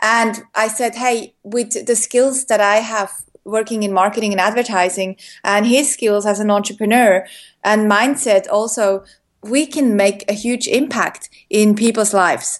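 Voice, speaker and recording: At a fairly slow pace, a woman with an unremarkable speaking voice talks at a fairly high pitch with fairly even intonation. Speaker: entrepreneur, former advertising worker. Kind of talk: casual interview chat.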